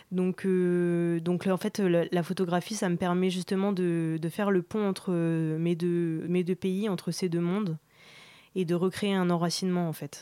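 In a very clean recording with a silent background, a woman speaks in a dark, mellow tone at a fairly low pitch. Her pace is fairly slow and her intonation monotone and flat. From France, with Iranian father. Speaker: photographer. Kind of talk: interview.

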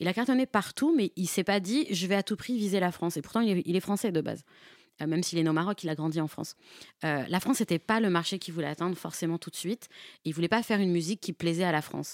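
On a very clean recording with a silent background and a dry, close sound with no echo, a woman speaks at a very fast pace, her pitch fairly low and its variation ordinary. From Nanterre, Paris suburbs. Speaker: freelance journalist. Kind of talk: radio interview.

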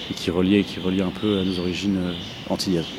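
Noticeable background noise is present. A man speaks fairly quickly in a fairly low voice. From central France (Orléans), Martinican mother. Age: young. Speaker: electronic musician, label co-founder. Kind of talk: interview. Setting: greenhouse in a park. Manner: halting, many hesitations.

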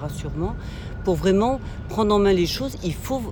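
Noticeable noise sits in the background. The speech goes at a moderate pace. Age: 60s. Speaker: passerby in street interview. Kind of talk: street interview. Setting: outdoors. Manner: halting.

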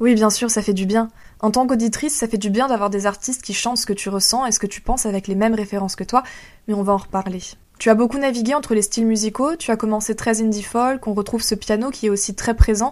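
The speaker is a woman with a fairly high pitch. She talks at a very fast pace. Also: fairly even intonation. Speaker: radio host. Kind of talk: radio interview.

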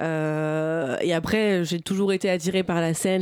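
A woman's fairly low voice at a fairly slow pace. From Normandy, France (Bernay, Eure). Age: 20s. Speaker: stand-up comedian. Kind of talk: interview. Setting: studio. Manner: halting.

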